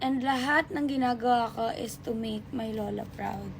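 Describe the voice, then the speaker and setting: Her voice high in pitch, a woman speaks with ordinary pitch variation. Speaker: lifestyle vlogger. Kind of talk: get ready with me vlog chat. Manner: casual, emotional.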